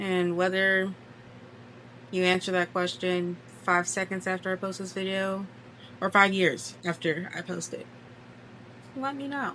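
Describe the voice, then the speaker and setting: A soft-spoken woman with a bright, sharp tone speaks at a fairly slow pace and medium pitch, with ordinary pitch variation and long, frequent pauses. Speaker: crochet content creator and small business owner. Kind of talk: casual chat.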